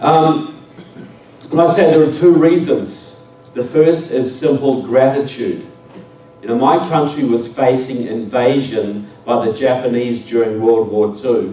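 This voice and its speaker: A medium-pitched man with a New Zealand accent, amid noticeable background noise and audible room echo. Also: ordinary pitch variation, fairly slow pace. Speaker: public speaker. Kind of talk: speech to an audience. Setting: stage with audience.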